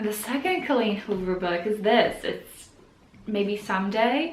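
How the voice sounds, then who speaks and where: A woman with a non-native accent speaks at a moderate pace with ordinary pitch variation, amid audible room echo and noticeable background noise. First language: not English. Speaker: book vlogger. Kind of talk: casual vlog talk.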